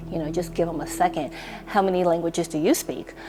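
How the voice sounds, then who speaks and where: A woman speaks in a fairly low pitch with a slight non-native accent. Music plays in the background. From immigrant raised in US from young age. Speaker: interviewee. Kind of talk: documentary interview.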